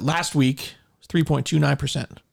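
Talking very fast, a man keeps his intonation fairly even. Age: 40s. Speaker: realtor and podcast host. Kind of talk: casual chat.

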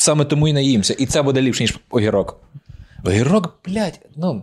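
With lively intonation and an animated tone, a man speaks at a moderate pace and a fairly high pitch. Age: 20s. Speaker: stand-up comedian, podcast co-host. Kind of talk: casual chat.

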